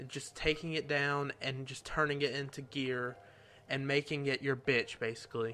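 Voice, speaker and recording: A man with a Southern US accent speaks at a moderate pace and a fairly high pitch. His tone is bright and sharp, his intonation flat and monotone. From US South. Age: 18. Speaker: YouTuber. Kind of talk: Q&A video. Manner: soft-spoken.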